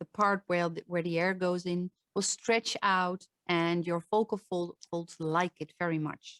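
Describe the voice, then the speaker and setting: The speaker has a Dutch accent and a fairly slow pace. The sound is dry and close, with no echo. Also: woman. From Netherlands, Limburg. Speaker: voice coach. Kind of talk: online talk with Q&A.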